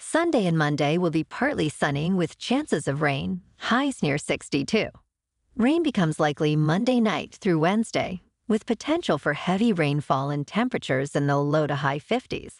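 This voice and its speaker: An unremarkable speaking voice moves at a moderate pace with lively intonation and very even loudness. The sound is dry and close with no echo, over a quiet background. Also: woman, fairly low pitch for a woman. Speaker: podcast host. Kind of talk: weather report. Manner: brisk, even and matter-of-fact, reading figures off in a steady rundown; upbeat and sunny.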